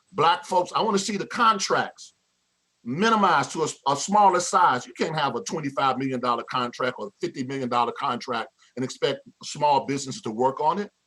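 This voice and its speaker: A man speaks at a fairly high pitch with lively intonation. He keeps a fairly quick pace. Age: 60s. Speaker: pastor and public commenter. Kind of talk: public comment at a meeting. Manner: impassioned, with repeated stumbles.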